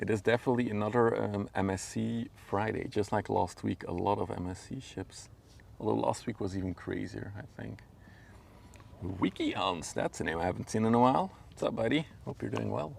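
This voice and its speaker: At a fairly quick pace, the speaker talks with a Flemish Belgian accent. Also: man. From Belgium (Flemish). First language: Dutch. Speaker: livestreamer, ship spotter. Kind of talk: live stream chat. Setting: outdoors by a river. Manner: casual, halting with fillers.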